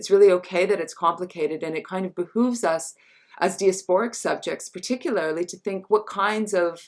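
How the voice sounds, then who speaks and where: Her pace fairly quick, a woman talks at a medium pitch with fairly even intonation. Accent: American. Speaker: feminist scholar and writer. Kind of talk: online talk conversation. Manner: halting, many fillers.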